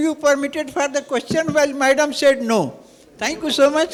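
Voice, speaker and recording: Amid noticeable background noise, a man talks at a fairly quick pace with an extremely high pitch and fairly even intonation. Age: 80s+. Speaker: audience member asking questions. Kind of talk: audience question.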